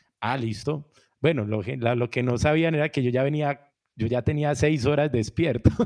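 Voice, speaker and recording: A man talks at a moderate pace in an unremarkable speaking voice, medium in pitch with ordinary pitch variation. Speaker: musician and music producer. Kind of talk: interview.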